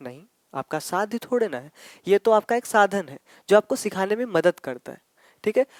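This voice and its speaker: In a dry, close sound with no echo, a man with a high pitch speaks at a moderate pace with lively intonation. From Ayodhya, Uttar Pradesh, India (Awadhi region). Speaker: teacher. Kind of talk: exam-prep lecture. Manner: explanatory, repetitive.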